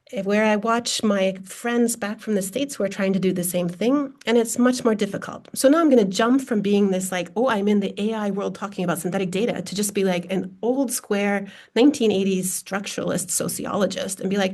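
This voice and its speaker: A woman with a plain, everyday voice and medium pitch talks at a fairly quick pace with ordinary pitch variation and hardly any pauses. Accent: American. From US Midwest, Minnesota. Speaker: data science researcher, sociologist. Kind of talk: panel discussion.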